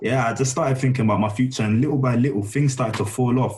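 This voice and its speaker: A man with a London accent speaks in a somewhat breathy voice. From south London, England. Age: 20s. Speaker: data scientist. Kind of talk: casual chat.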